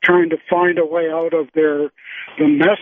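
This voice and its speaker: A man with an ordinary speaking voice talks at a moderate pace and a fairly high pitch, using fairly even intonation. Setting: Skype call.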